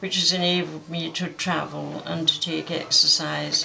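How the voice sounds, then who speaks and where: Behind this woman there is noticeable background noise. She speaks in an English accent at a fairly slow pace. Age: 90s. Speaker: war veteran. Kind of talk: interview testimony.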